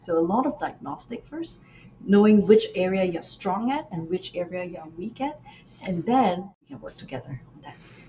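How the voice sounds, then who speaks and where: A woman's medium-pitched voice with very wide pitch swings, at a moderate pace over noticeable background noise. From Malaysia. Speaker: nephrologist and executive presence coach. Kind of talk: interview.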